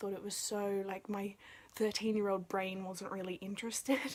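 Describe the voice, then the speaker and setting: A woman is speaking softly. Her pitch sits in the medium range. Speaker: book vlogger. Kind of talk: casual video review. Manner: quiet, soft-spoken.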